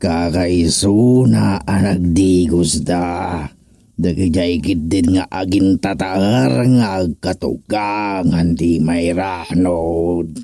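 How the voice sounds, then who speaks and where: Very slow delivery from a man in a put-on character voice, pitched very deep and low. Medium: audio drama.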